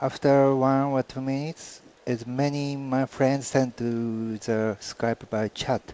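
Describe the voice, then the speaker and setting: Speaking very slowly with a Japanese accent, a man delivers his words in a monotone, flat intonation. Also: medium pitch for a man. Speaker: artist. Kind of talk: interview answer.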